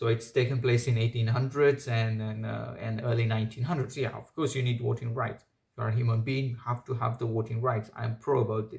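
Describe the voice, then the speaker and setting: Fairly quick and somewhat breathy, this speaker with a non-native accent talks in a flat monotone with hardly any pauses. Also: man, medium pitch for a man. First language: not English. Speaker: commentary video creator. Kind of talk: opinion monologue. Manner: halting, many fillers.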